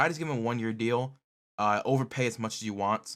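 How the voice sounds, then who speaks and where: The man's voice sits at a medium pitch. Behind him there is total silence on a very clean recording. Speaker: sports YouTuber. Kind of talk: casual commentary video. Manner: fast.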